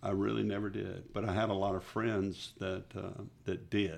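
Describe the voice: A man with a Texan accent talks at a moderate pace in a low pitch, with vocal fry. His tone is slightly mellow and his pitch moves little.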